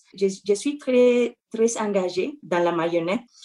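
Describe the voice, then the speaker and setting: A woman with a Spanish accent, medium in pitch, ordinary pitch variation, fairly slow delivery. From Mexico, Metepec. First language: Spanish (speaking French). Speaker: puppeteer and actor. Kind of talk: interview testimony.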